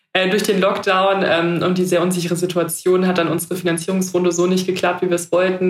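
Very fast delivery in a monotone, flat intonation. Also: woman. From Heidelberg, southwestern Germany. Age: 20s. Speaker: startup founder. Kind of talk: podcast interview. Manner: hesitant, many fillers.

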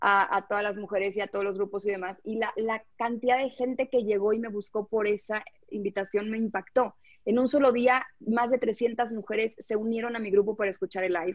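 Quick-paced, a woman with a Mexico City accent speaks in a fairly high pitch with fairly even intonation. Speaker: life coach. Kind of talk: interview.

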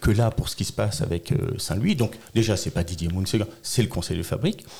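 A man speaks with a dark, mellow tone that is somewhat breathy. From Alsace, France. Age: 40s. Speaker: local politician, election candidate. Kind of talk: political interview.

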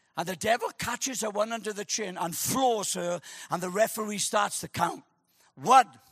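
Quiet background behind an unforced reading voice

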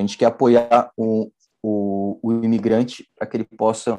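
A man talks at a medium pitch with a dark, mellow tone. His intonation is monotone and flat, and the sound is dry and close with no echo. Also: quiet background. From Brazil, São Paulo. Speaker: entrepreneur. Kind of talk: interview. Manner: hesitant, many fillers.

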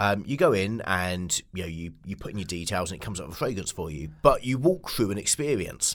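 In a normal speaking voice, a man talks at a fairly quick pace with a fairly low pitch, lively intonation, and big swings in loudness. The recording is very clean, with a silent background. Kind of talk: casual interview chat.

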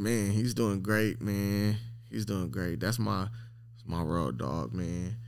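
A man's very deep, low voice with vocal fry and very wide pitch swings, plus audible room echo. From Long Beach, California. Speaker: dog breeder. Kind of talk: casual interview.

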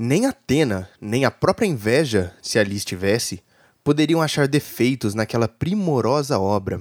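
Theatrical and dramatic in tone, a man at medium pitch uses lively intonation and very even loudness at a moderate pace, with a dry, close sound and no echo. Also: very clean recording, silent background. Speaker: podcast co-host and narrator. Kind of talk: dramatic storytelling narration. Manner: theatrical, dramatic narration; casual and friendly in the sign-off.

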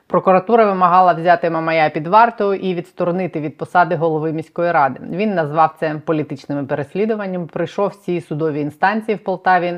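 A woman's plain, everyday voice, fairly low in pitch, at a fairly quick pace with hardly any pauses and ordinary pitch variation. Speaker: journalist, channel host. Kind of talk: news presentation and interview. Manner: formal.

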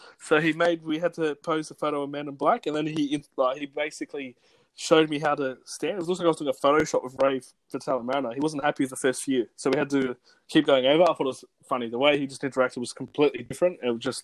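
At a very fast pace, a man with a fairly high pitch speaks in fairly even intonation, with a dry, close sound and no echo. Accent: Australian. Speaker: podcast co-host. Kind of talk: casual interview chat. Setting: remote recording.

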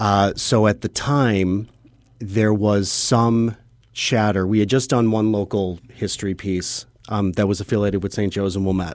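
The recording is very clean, with a silent background. The speaker has an American accent and a moderate pace. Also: man, fairly low pitch for a man. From Chicago area. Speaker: documentary filmmaker. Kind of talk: interview. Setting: radio studio. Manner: energetic.

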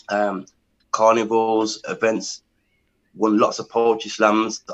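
In an English accent, a man speaks at a very slow pace with monotone, flat intonation. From England. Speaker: spoken word poet. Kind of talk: interview.

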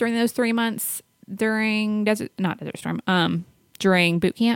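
With a dry, close sound and no echo, a woman talks in a fairly high pitch with ordinary pitch variation. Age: 30s. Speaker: podcast host. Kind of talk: casual chat.

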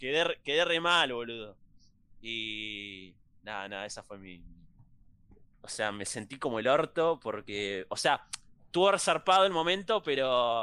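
A man with a Rioplatense accent speaks at a fairly slow pace, in a bright, sharp tone at medium pitch, with long, frequent pauses. His pitch makes very wide swings and his loudness rises and falls sharply. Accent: Argentine Rioplatense Spanish. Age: young. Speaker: podcast host. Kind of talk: casual chat.

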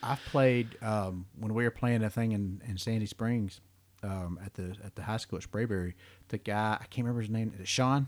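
In a plain, everyday voice with an American accent, a man talks at a fairly low pitch and moderate pace with fairly even intonation. The recording is very clean with a silent background. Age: 40s. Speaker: podcast host. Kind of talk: casual chat.

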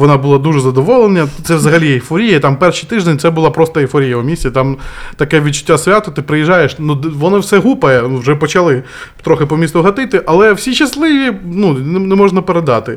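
A man with a plain, everyday voice speaks at a fairly high pitch and a fairly quick pace, with lively intonation. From Kherson, southern Ukraine. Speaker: volunteer and former guesthouse owner. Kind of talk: podcast interview.

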